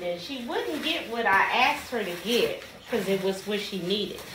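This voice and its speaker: Noticeable background noise is present. Over it, a woman speaks. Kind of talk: casual vlog chat. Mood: playful complaining. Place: office. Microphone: camera far.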